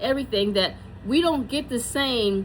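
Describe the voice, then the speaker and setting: An ordinary speaking voice from a woman with an American accent, moderate in pace, with ordinary pitch variation. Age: 60s. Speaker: beauty consultant and vlogger. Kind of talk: product tutorial. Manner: casual, chatty.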